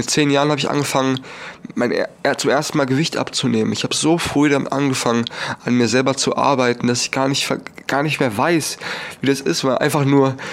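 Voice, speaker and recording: Noticeable background noise surrounds a man speaking. His pitch is medium and his intonation fairly even. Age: young. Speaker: podcaster. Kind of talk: personal monologue.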